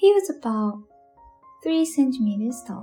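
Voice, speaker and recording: A soft-spoken woman talks at a moderate pace with very wide pitch swings. Music plays in the background. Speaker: bedtime storyteller. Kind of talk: English narration of folktale.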